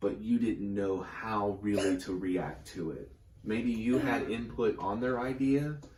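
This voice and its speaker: With audible room echo, a man speaks at a fairly slow pace in a medium pitch with ordinary variation. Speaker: tarot reader. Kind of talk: tarot reading.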